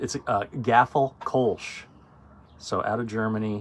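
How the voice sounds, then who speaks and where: The man's intonation stays fairly even. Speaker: bar owner hosting a year-in-review video. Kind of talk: casual chat. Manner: talkative.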